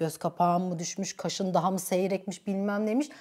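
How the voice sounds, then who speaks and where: A woman talks in an animated tone at a fairly quick pace. The background is quiet. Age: 30s. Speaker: YouTuber. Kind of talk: casual chat. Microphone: lapel.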